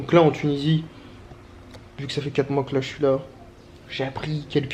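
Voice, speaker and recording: The man talks at a fairly quick pace. His pitch sits in the medium range. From France. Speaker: travel vlogger. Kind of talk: casual vlog monologue. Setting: at home, handheld camera. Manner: fast; casual slangy.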